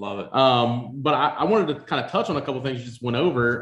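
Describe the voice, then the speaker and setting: A man talks at a fairly quick pace and medium pitch, with ordinary pitch variation. He has a plain, everyday voice. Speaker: podcast co-host. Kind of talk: casual interview.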